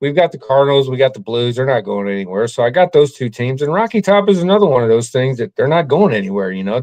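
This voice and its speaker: Very fast speech from a man with an American accent, medium in pitch, with very wide pitch swings. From US Midwest, St. Louis. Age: 60s. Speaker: sports fan. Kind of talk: casual interview.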